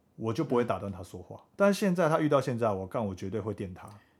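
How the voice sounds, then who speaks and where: An ordinary speaking voice at a fairly quick pace, with lively intonation, on a very clean recording over a silent background. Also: man. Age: 20s. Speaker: podcast co-host. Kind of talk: casual chat.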